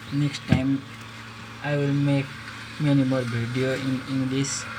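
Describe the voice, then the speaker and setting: A man with a Nepali accent, medium in pitch, in a monotone, flat intonation at a fairly slow pace, amid noticeable background noise and audible room echo. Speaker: phone repair vlogger. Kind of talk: tutorial. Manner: halting.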